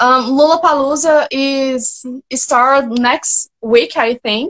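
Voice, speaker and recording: At a very slow pace, a woman speaks in a Brazilian Portuguese accent with a high pitch and ordinary pitch variation. The sound is dry and close, with no echo. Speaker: fan. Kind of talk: fan Q&A. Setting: joined live video stream. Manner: halting.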